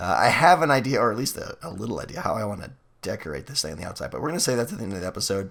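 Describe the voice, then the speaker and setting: Very wide pitch swings mark this man's medium-pitched voice, which has vocal fry. He talks at a very fast pace. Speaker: gaming youtuber. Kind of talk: let's play commentary. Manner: casual, conversational.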